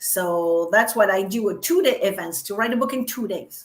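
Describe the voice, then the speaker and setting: Lively intonation marks this woman's medium-pitched voice and French accent. Her pace is moderate. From France. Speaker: business coach. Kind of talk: casual chat.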